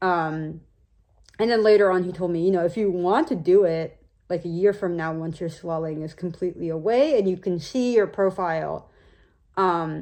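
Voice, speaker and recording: A woman mumbles at a moderate pace in a dark, mellow tone with fairly low pitch. Her pitch variation is ordinary, and the background is quiet. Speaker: video blogger recovering from jaw surgery. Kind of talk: personal vlog. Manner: mumbling by nature; hesitant, many fillers.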